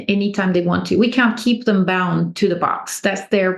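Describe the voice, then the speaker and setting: A woman speaks with a French accent. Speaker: natural beekeeper. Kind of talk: podcast interview.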